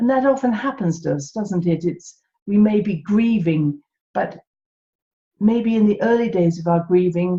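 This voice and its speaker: A woman with an English accent speaks at a moderate pace in a somewhat breathy, dark, mellow tone with lively intonation. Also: medium pitch for a woman. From England. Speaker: podcast host, holistic health teacher. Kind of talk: solo podcast talk.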